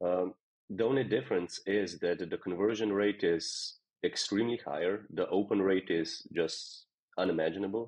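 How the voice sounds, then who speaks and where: A man with a Slovenian accent speaks at a fairly low pitch and a moderate pace. His loudness stays very even and his intonation fairly even. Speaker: software company co-founder. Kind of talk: interview.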